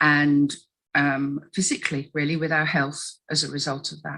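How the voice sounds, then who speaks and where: A woman with a very deep, low pitch speaks in an English accent. Her tone is bright and sharp, her intonation monotone and flat. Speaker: tribunal witness. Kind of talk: testimony. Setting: recorded tribunal interview. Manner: halting, frequent ums.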